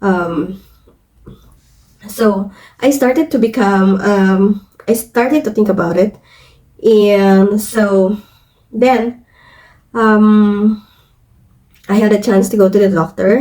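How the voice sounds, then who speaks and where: Very slowly and with long, frequent pauses, a woman speaks in a dark, mellow tone with ordinary pitch variation. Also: medium pitch for a woman, very even loudness. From Philippines. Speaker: vlogger. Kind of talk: personal story vlog. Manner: halting, many fillers.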